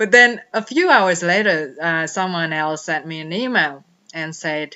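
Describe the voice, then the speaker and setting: A woman speaks at a fairly slow pace. Her voice is fairly low, with ordinary pitch variation. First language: not English. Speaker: life coach. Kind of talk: personal vlog monologue.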